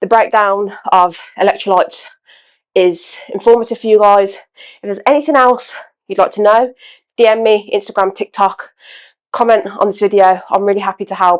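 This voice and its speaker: This woman speaks with a British accent. Her voice sits at a medium pitch. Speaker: fitness content creator. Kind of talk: casual vlog talk.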